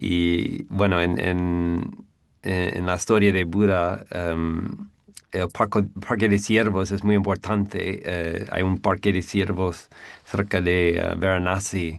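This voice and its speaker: A man speaks at a very slow pace with an English accent. His very deep, low voice stays monotone and flat. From US Northeast, near New York. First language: English (speaking Spanish). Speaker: Buddhist monk. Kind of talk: interview. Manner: halting, many fillers.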